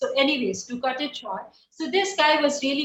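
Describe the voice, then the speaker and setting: With an Indian accent, a woman speaks at a high pitch in a bright, sharp tone with lively intonation. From India, Bihar. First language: Bihari dialect, Hindi. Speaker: poet and writer. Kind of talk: interview.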